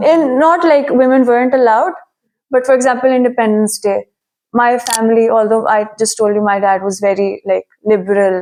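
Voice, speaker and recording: Fairly high in pitch, a woman with a Pakistani accent speaks at a moderate pace with ordinary pitch variation. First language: Urdu. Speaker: immigrant student interviewee. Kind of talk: interview.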